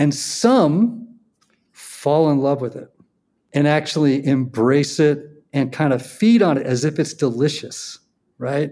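A man's very slow speech, fairly high in pitch, with a dark, mellow tone and ordinary pitch variation. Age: 60s. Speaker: podcast host. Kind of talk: casual chat. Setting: video call.

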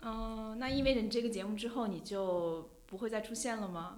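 A woman speaks in a plain, everyday voice at a moderate pace, fairly high in pitch with ordinary variation. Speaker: journalist and podcast host. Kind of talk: casual interview chat. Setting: studio, face to face.

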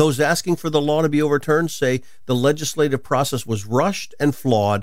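In an ordinary speaking voice, a man talks at a fairly quick pace, pitched fairly high with ordinary pitch variation. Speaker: radio host and Bible teacher.

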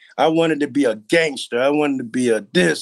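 A man speaks at a moderate pace with a fairly high pitch. He has a plain, everyday voice. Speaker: recovering addict and entrepreneur. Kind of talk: testimony.

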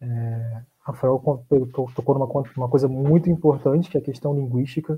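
A man with a fairly high pitch and fairly even intonation. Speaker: law graduate who studied abroad. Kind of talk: casual chat.

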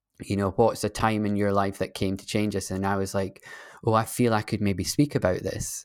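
A man with a Scottish accent speaks at a fairly low pitch. His intonation is monotone and flat. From Scotland. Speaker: guest, tech startup founder. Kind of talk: casual interview conversation. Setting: remote video call. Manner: calming, slow, hesitant with fillers.

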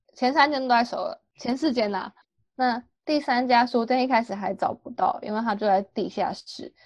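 A high-pitched woman with a Taiwanese accent. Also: ordinary pitch variation, moderate pace. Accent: Taiwanese Mandarin. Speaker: exchange student. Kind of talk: casual chat.

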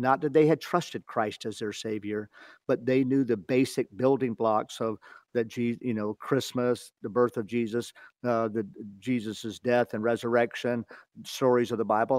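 In an ordinary speaking voice, a man speaks at a medium pitch and a moderate pace with fairly even intonation, the sound dry and close with no echo. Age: 60s. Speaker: ministry director. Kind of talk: interview about faith. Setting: phone call.

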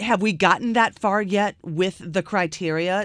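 A woman with an American accent and an unremarkable speaking voice talks at a fairly slow pace with fairly even intonation. The sound is dry and close with no echo, in a very clean recording with a silent background. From US South. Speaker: radio host. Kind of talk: interview. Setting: studio.

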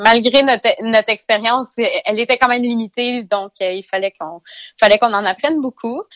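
A woman's voice with ordinary pitch variation. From Eastern Ontario, Canada. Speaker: vegetable farmer. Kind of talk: interview. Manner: halting, with repetitions.

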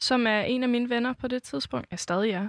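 In a very clean recording over a silent background, a woman speaks at a high pitch. The sound is dry and close, with no echo. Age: 20s. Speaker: singer-songwriter. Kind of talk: casual interview.

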